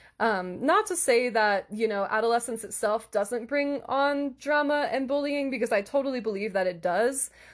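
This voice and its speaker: A woman's fairly high voice, an ordinary speaking voice, at a moderate speed with typical pitch movement. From US Northeast, Philadelphia area. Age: 20s. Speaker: podcast host, English tutor. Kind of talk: solo podcast monologue. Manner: warm, casual, frequent laughter.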